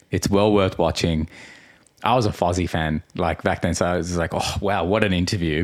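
A man with an Australian accent speaks with a very deep, low pitch. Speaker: podcast host. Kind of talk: casual chat.

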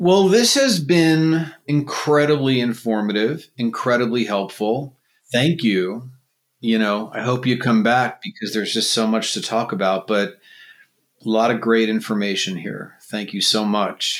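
On a very clean recording with a silent background, a man with an American accent and a plain, everyday voice speaks at a fairly slow pace. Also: medium pitch for a man, lively intonation. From New York, eastern Long Island. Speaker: podcast host. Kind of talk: casual interview chat.

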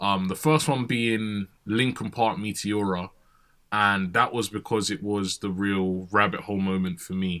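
In a very clean recording with a silent background, a man speaks with a fairly low pitch, a bright, sharp tone and fairly even intonation. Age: 20s. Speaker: radio DJ. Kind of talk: casual chat.

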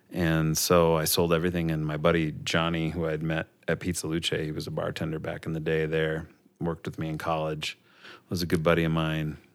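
In an Upper Midwest accent, a man speaks fairly quickly with a very deep, low pitch and flat, monotone intonation. The recording is very clean, with a silent background. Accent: Upper Midwest American. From Minnesota, Minneapolis area. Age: 40s. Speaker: teacher. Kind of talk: casual chat.

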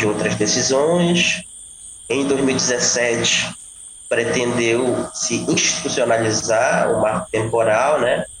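Over noticeable background noise, a man speaks at a very slow pace with medium pitch and ordinary pitch variation. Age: 30s. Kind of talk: interview.

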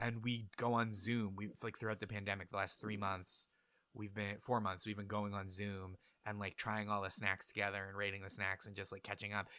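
The tone is bright and sharp, the intonation monotone and flat. It moves at a fairly quick pace on a very clean recording with a silent background. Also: man, fairly low pitch for a man. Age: 30s. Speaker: comedian. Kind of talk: casual chat.

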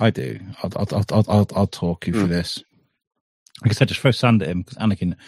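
On a dry, close recording with no echo, a man with fairly low pitch and vocal fry speaks at a fairly quick pace with ordinary pitch variation and long, frequent pauses. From England (Shropshire). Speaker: podcast host. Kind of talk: casual chat.

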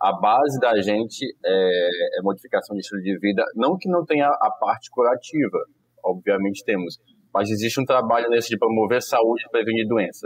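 With an unremarkable speaking voice, a man talks at a medium pitch and moderate pace with ordinary pitch variation, the sound dry and close with no echo. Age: 30s. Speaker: family doctor. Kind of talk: casual chat. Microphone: connection problems.

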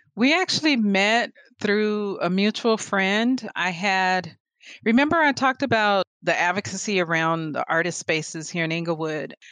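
A woman with an unremarkable speaking voice, medium pitch and lively intonation at a moderate pace, in a dry, close sound with no echo and a quiet background. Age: 40s. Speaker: visual artist and photographer. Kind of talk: casual interview chat.

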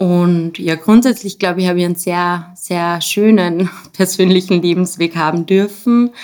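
A woman with an ordinary speaking voice talks at a moderate pace, her fairly low pitch held to fairly even intonation. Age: 30s. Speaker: special education teacher. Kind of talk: casual interview.

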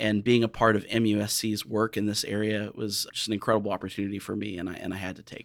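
Fairly low-pitched and flat in intonation, a man with an American accent races along very fast with hardly any pauses and big swings in loudness. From US Midwest, southern Illinois. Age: 40s. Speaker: healthcare diversity director. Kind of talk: interview.

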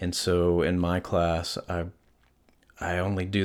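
The recording is very clean, the background silent. A man speaks in a very deep, low voice. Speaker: podcast host, artist and yoga teacher. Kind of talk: solo podcast monologue. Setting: home studio, one-person podcast setup.

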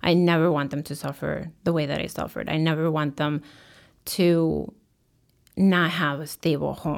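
Vocal fry colors a woman's very deep, low voice on a very clean recording with a silent background. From Chicago, raised from age five. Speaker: guest sharing immigrant life story. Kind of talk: interview, personal story.

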